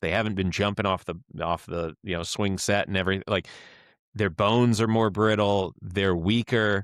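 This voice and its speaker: A man with an American accent and an ordinary speaking voice talks at a moderate pace and fairly low pitch, his intonation fairly even, on a very clean recording with a silent background and a dry, close sound with no echo. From Florida (Tallahassee). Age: 30s. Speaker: podcast host, strength coach. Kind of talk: casual interview chat.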